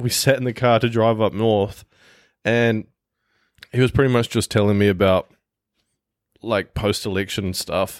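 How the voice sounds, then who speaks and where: With a New Zealand accent, a man at medium pitch talks in fairly even intonation with long, frequent pauses, recorded very cleanly against a silent background with a dry, close sound and no echo. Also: moderate pace. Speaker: podcast co-host. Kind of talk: casual chat.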